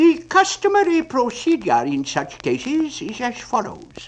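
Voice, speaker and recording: A man puts on a character voice. His pitch is extremely high and his pace moderate. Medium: read story. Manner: pompous, wordy.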